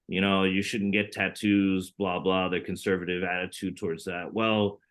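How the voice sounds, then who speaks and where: Someone with an American accent talks at a moderate pace in a monotone, flat intonation. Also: man, very deep, low pitch for a man. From US South, Baton Rouge, Louisiana. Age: 30s. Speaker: expat living in China. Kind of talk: podcast interview.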